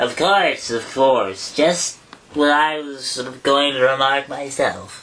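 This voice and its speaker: This is a put-on character voice, hoarse and at a low-to-middle pitch. It moves at a fairly slow pace. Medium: read story.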